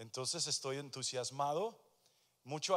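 The setting is quiet. A man speaks at a moderate pace. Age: 60s. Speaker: pastor. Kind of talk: sermon. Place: church. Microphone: handheld.

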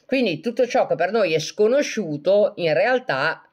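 There is a quiet background as a woman speaks at a medium pitch. Her moderate pace carries some vocal fry. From Italy, Genoa (Liguria). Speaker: self-described medium and live streamer. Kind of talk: casual live-stream chat answering viewer comments. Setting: live video stream on social media. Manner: animated, laughs often.

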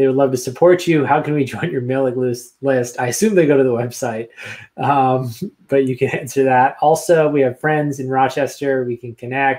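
A man speaks at a moderate pace in a medium pitch. His intonation stays fairly even. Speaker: advocacy group executive director. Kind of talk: casual interview hosting. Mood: friendly, smiling. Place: home room.

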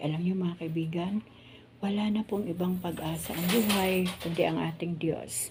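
A woman speaks in an ordinary speaking voice, fairly low-pitched, at a moderate pace with fairly even intonation. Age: 60s. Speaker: vlogger. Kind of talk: casual vlog narration. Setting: outdoors.

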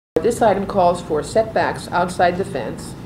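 Against noticeable background noise, a woman speaks at a moderate pace with a fairly low pitch and fairly even intonation. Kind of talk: formal statement at hearing. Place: hall. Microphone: podium.

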